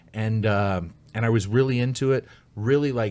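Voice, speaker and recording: A man with a slight Canadian accent and a medium pitch is heard on a very clean recording with a silent background. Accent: slight Canadian traits. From United States, with much time in Canada. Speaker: stand-up comedian. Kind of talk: casual podcast chat.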